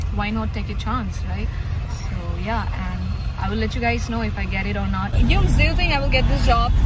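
Fairly quick speech from a woman, the sound dry with no echo over loud background noise. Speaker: vlogger. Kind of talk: casual vlog chat. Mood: upbeat, chatty. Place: car. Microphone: phone near.

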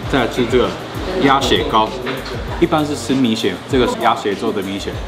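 With music in the background, a man talks fairly quickly, his pitch varying in an ordinary way. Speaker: food vlogger. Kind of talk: casual food review chat. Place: cafe. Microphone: camera far.

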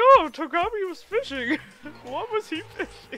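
The pitch is extremely high. It is a put-on character voice. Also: moderate pace. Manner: airheaded, clueless.

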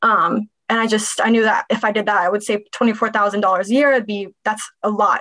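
Very fast, flat, monotone speech from a woman with an American accent, fairly high in pitch and bright and sharp in tone, over a quiet background. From Dallas, Texas; Texas. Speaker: real estate investor and consultant; podcast guest. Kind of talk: interview. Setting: video call. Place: home room. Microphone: webcam.

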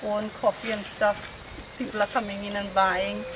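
There is noticeable background noise behind a woman's voice. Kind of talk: interview answer. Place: forest. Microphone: camera far.

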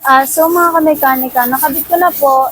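A woman's high-pitched voice with ordinary pitch variation, over noticeable background noise. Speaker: mechanic vlogger. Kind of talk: tutorial. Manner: halting with many fillers.

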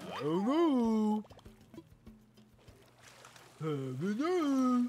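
A put-on character voice, female-sounding and fairly high for a woman, moves through very wide pitch swings.

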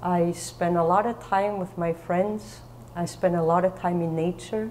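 A woman speaks at a very slow pace over light background noise. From Germany. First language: German. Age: 50s. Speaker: author sharing mental illness story. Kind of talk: testimony. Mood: calm, reflective personal story. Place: church.

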